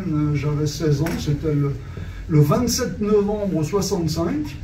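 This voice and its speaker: There is audible room echo and noticeable background noise as a man speaks at a fairly slow pace, with a fairly high pitch and ordinary pitch variation. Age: 70s. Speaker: former artist secretary and author. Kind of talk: talk at a book signing. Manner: halting, many hesitations.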